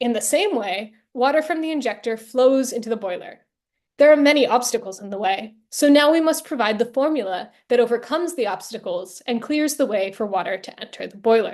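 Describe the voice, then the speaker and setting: Spoken in an American accent, the speech comes at a fairly quick pace with lively intonation. Loudness swings a lot, and the background is quiet. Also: woman, high pitch for a woman. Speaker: historian and author. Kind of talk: academic talk. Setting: virtual event. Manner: reading prepared text with occasional slips.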